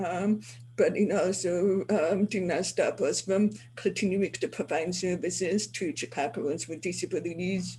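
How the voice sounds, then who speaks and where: Vocal fry runs through a woman's voice that has ordinary pitch variation. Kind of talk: webinar panel remarks. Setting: video call from city hall office.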